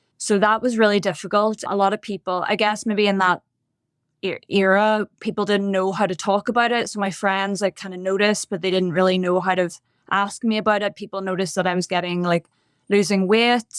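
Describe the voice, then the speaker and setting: Recorded very cleanly against a silent background, with a dry, close sound and no echo, a woman speaks fairly quickly in a monotone, flat intonation with a Northern Irish accent. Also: medium pitch for a woman. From Northern Ireland, Bangor near Belfast. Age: 30s. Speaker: podcast guest in recovery. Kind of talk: testimony.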